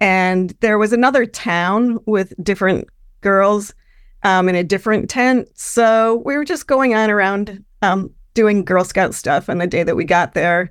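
A woman with a plain, everyday voice and an American accent, medium in pitch with ordinary pitch variation, at a fairly slow pace, on a very clean recording with a silent background. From upstate New York. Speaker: caller telling a ghost story. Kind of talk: storytelling.

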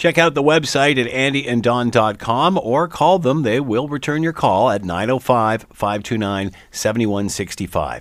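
Using an ordinary speaking voice, a man talks at a fairly slow pace and medium pitch, with lively intonation and hardly any pauses. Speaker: radio host. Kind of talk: radio talk show. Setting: studio.

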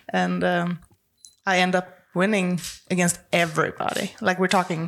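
At a fairly slow pace, a woman talks with a Swedish accent. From Sweden, Stockholm. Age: 20s. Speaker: professional arm wrestler. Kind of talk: casual interview.

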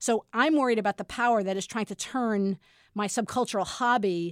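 A woman's normal speaking voice at a medium pitch, fairly quick in pace, with ordinary pitch variation. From US Northeast, Brooklyn. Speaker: professor. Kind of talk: interview.

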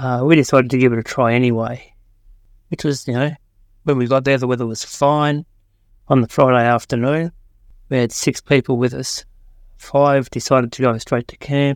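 Speaking at a moderate pace with long, frequent pauses, a man with an Australian accent holds a medium pitch and monotone, flat intonation in a dry, close sound with no echo. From Australia, Tasmania. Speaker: hiker sharing a story. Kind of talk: recorded story.

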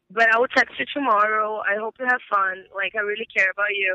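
Talking at a very fast pace, a woman with a Brazilian accent has a fairly high pitch. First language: Portuguese. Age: 20s. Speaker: caller. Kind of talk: casual chat.

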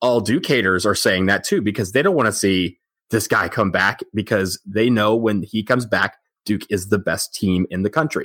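A man's ordinary speaking voice with an American accent, fairly low in pitch, at a moderate pace, with ordinary pitch variation and very even loudness, on a very clean recording with a silent background and a dry, close sound with no echo. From Michigan, outside Detroit. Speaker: sports podcast co-host. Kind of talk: casual chat.

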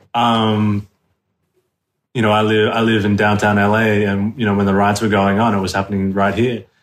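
A man with an Australian accent. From Australia, southwest Sydney. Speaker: actor. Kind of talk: casual interview chat.

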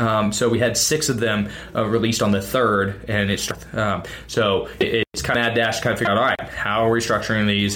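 There is noticeable noise in the background. A man speaks at a medium pitch. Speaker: podcast co-host and CrossFit coach. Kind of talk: casual chat. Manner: loud.

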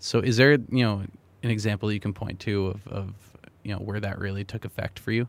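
Talking at a very fast pace, a man keeps his fairly low pitch on fairly even intonation. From New Hampshire. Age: 20s. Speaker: podcast co-host. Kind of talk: casual interview. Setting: studio.

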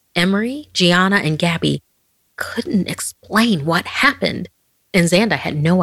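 A woman speaks in a fairly low voice with vocal fry at a moderate pace. Her tone is dramatic. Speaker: horror podcast host. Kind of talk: horror story narration. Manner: hushed, suspenseful, dramatic pacing; ominous, theatrical, building tension.

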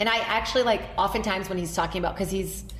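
Over noticeable background noise and audible room echo, a woman speaks at a medium pitch. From Brazil. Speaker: comedian and TV host. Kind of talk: casual chat.

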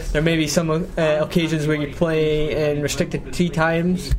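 Talking at a fairly quick pace, a man with a fairly high voice is heard against noticeable background noise. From northeast Scotland. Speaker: golf travel podcast host. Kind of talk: casual interview.

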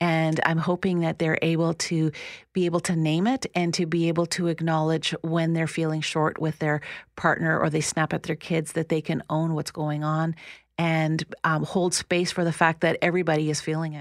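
Recorded very cleanly against a silent background, a woman speaks in a fairly low pitch with monotone, flat intonation. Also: moderate pace. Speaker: counsellor. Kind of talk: radio interview. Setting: studio.

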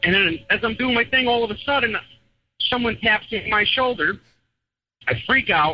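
Lively in intonation, a man with a high-pitched voice speaks at a moderate pace. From New England. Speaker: truck driver. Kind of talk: storytelling. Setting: phone call. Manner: animated.

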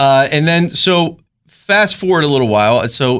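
A man with a Maryland accent speaks at a moderate pace with ordinary pitch variation. The recording is very clean, with a silent background. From rural Maryland. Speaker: police officer.

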